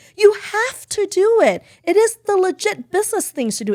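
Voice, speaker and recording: In a non-native accent, the speaker sounds animated, with very wide pitch swings at a moderate pace, on a very clean recording with a silent background. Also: woman. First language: not English. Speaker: beauty company founder and CEO. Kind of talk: podcast interview.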